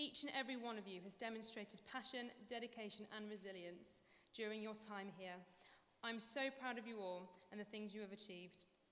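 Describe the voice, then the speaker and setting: A woman talks at a fairly quick pace and fairly high pitch with fairly even intonation, over noticeable background noise. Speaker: dance lecturer. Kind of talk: graduation speech.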